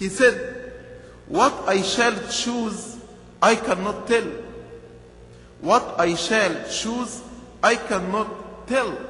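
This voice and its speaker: A man's raised, projected voice at an extremely high pitch, very slow with long, frequent pauses and fairly even intonation, in audible room echo. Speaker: bishop. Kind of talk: sermon. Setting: church. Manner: earnest, rhythmic preaching; repeats key phrases for emphasis. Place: church. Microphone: podium.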